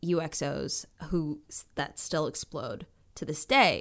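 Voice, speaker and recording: Her pitch sits fairly low. The woman talks with an American accent. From Minnesota. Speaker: actress and comedian. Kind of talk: casual interview. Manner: animated.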